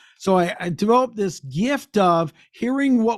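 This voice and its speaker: The recording of this man's voice is very clean, with total silence behind him. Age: 60s. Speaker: business coach. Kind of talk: interview.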